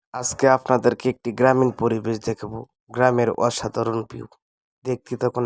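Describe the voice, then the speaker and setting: A man with a Mymensingh accent speaks at a medium pitch. The recording is very clean with a silent background, and the sound is dry and close with no echo. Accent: Mymensingh regional dialect. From Bangladesh, greater Mymensingh (Netrokona). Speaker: video blogger. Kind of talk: walking vlog narration. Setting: outdoors, village path.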